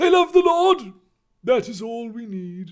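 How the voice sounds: Putting on a character voice in a British accent, a man speaks at an extremely high pitch with big pitch swings, a slightly mellow tone and a fairly slow pace.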